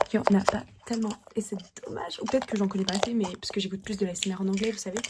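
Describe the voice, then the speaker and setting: A woman speaks at a very fast pace in a medium pitch with monotone, flat intonation. Noticeable background noise is heard. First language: Russian (speaking French). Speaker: ASMR creator. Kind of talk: fast and aggressive ASMR. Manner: repetitive.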